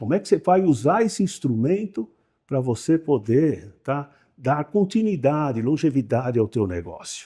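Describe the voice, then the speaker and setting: A man with a fairly high pitch and a dark, mellow, somewhat breathy tone speaks at a moderate pace. His pitch swings very widely on a very clean recording with a silent background. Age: 70s. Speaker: company owner. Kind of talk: interview. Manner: halting.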